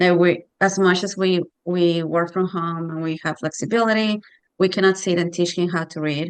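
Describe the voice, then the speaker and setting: Over a quiet background, a woman with a Spanish accent speaks at a moderate pace in a fairly low pitch with monotone, flat intonation. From Mexico. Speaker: parent. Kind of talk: casual chat.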